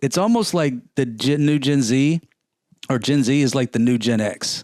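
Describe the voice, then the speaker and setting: In a normal speaking voice, a man talks at a moderate pace in a fairly high pitch, with ordinary pitch variation and very even loudness. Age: 50s. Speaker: car podcast co-host. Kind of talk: casual chat.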